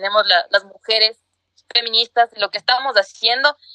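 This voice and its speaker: A woman speaks at a fairly quick pace with an unremarkable speaking voice. Her pitch is fairly high. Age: 20s. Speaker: lawyer and feminist activist. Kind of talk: interview.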